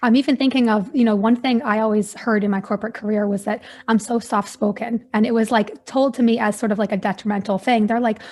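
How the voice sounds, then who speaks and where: With hardly any pauses, a woman talks at a very fast pace in a fairly high, somewhat breathy voice and fairly even intonation. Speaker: podcast host. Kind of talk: interview. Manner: soft-spoken.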